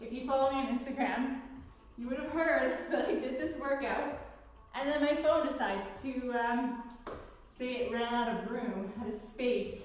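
Strong room echo surrounds a woman whose high voice moves at a moderate pace with fairly even intonation. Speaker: fitness instructor. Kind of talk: workout instruction. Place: gym. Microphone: camera far.

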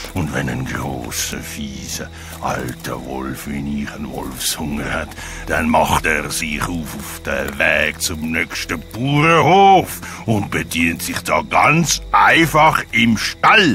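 A man speaks at a very slow pace in a put-on character voice. Clear music plays in the background. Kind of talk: children's audio drama. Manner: greedy, gloating, theatrical.

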